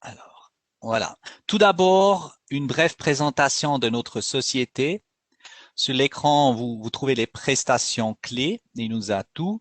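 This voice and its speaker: A man with a Swiss German accent, speaking at a very slow pace. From Switzerland, Bern region (German-speaking). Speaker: company executive presenting a webinar. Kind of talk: webinar presentation. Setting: online webinar. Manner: halting, with frequent hesitations.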